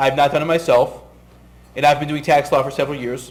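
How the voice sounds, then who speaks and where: With audible room echo, a man speaks at a fairly high pitch with ordinary pitch variation. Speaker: tax lawyer. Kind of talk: lecture.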